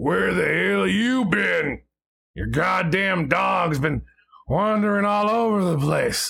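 Putting on a character voice, a man sounds raspy and high-pitched as he talks at a fairly slow pace. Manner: angry, scolding.

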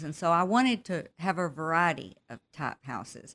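Speaking at a fairly slow pace with a Texan accent, a woman has a very deep, low pitch in a very clean recording with a silent background. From West Texas. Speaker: author. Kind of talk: interview.

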